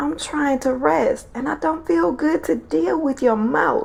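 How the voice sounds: A woman puts on a character voice, high-pitched with vocal fry and a slightly mellow tone, speaking at a fairly slow pace over faint background noise. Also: ordinary pitch variation.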